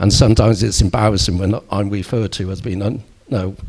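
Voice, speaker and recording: A man talks at a very fast pace, somewhat breathy, with fairly even intonation. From Bristol, England. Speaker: local politician. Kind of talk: election hustings debate.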